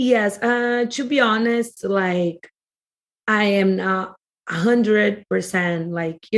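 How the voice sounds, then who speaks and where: A woman speaks with a strong Brazilian accent. Her pitch varies in an ordinary way. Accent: Brazilian Portuguese accent in English, heavy. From Brazil, Rio area. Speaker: podcast guest. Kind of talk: casual chat. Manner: halting, filler-heavy.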